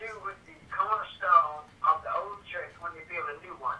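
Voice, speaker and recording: A man with a Louisiana accent at a moderate pace, with noticeable background noise. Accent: Louisiana Southern US. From US South. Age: 70s. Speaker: family elder. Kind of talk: casual chat.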